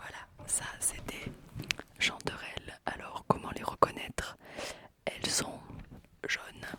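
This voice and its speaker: A whisper comes through at a very slow pace, broken by long, frequent pauses, over noticeable background noise. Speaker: ASMR channel host, daughter of the other speaker. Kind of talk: casual ASMR talk, whispered mushroom chat. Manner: whispering, soft-spoken.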